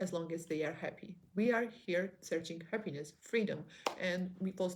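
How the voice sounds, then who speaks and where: Moderate pace and medium pitch from a female speaker, her pitch moving in an ordinary way. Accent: non-native. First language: not English. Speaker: online business vlogger. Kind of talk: motivational monologue. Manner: halting.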